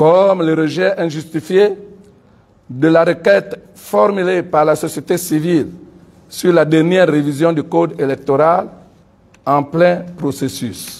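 A man speaks at a very slow pace with long, frequent pauses. His pitch is high and his intonation fairly even. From Gabon. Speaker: civil society leader and pastor; civil society spokesman. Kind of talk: press conference statement. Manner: formal. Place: meeting room.

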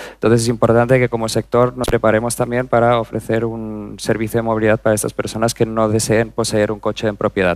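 Speaking at a very fast pace, a man keeps a monotone, flat intonation. The sound is dry, with no echo. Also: hardly any pauses. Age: 30s. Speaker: corporate digital executive; conference speaker. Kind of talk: conference talk. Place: stage. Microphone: headset.

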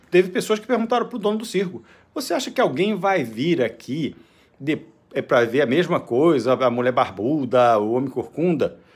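Vocal fry and very wide pitch swings run through a man's fairly high voice at a moderate pace. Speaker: vlogger, business owner. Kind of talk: opinion monologue. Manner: animated.

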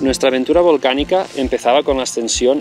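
A man talks at a fairly quick pace, with ordinary pitch variation. The sound is dry with no echo, and faint music plays in the background. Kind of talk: travel documentary narration to camera. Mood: calm, friendly.

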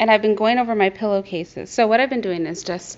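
Her pitch rises and falls with ordinary variation as the woman speaks. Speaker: vlogger. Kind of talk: casual vlog chat. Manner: chatty, animated. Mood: pleased, enthusiastic. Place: home room. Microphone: phone near.

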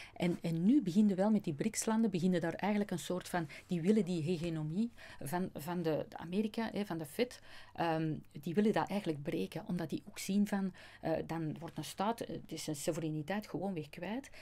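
This woman has a dark, mellow tone and a fairly low pitch. She talks at a moderate pace with ordinary pitch variation. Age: 50s. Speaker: customs agent and natural law speaker; speaker. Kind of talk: interview. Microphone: studio mic.

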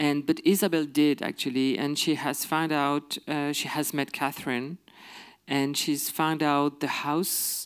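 A man with a French accent at a fairly slow pace, against a quiet background. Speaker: filmmaker guest. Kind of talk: interview answer. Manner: halting. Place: stage. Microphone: handheld.

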